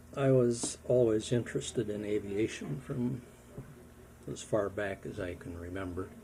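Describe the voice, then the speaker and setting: With an American accent, a man speaks at a fairly low pitch with ordinary variation, his tone dark and mellow and somewhat breathy. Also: moderate pace. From Wisconsin, USA. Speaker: war veteran. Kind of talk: interview answer.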